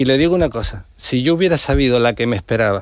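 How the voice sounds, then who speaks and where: A man with an unremarkable speaking voice, medium pitch, ordinary pitch variation, and a fairly quick pace. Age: 60s. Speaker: politician. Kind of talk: radio interview.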